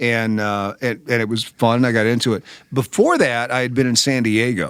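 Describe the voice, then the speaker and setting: A man at a medium pitch and a moderate pace. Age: 60s. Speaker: radio host. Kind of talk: casual chat. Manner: animated.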